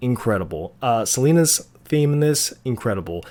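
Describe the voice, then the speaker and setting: Very clean audio captures this man's voice, and the background is silent. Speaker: movie reviewer youtuber. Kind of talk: casual vlog review. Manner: animated; halting.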